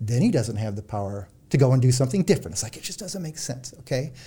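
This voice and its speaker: Speaking with a Midwestern US accent, a man has a somewhat breathy voice with a dark, mellow tone. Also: very clean recording, silent background. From central Illinois. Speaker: psychologist and author. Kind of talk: interview. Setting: studio.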